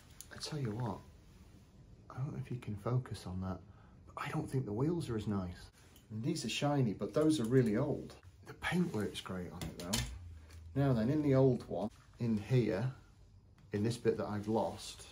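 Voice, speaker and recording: Over noticeable background noise, a man speaks at a moderate pace in a somewhat breathy, dark, mellow tone with lively intonation and long, frequent pauses. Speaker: toy shop owner reviewer. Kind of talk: casual unboxing review. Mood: enthusiastic, mildly critical. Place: shop.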